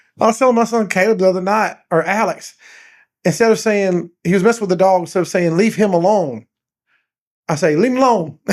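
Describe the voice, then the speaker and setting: A man speaks fairly quickly in a high pitch with a strong southern Georgia accent and an animated tone. His pitch varies in an ordinary way, and the recording is very clean with a silent background. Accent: rural southern Georgia dialect, strong. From US South, Douglas, Georgia. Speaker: pastor. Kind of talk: casual chat.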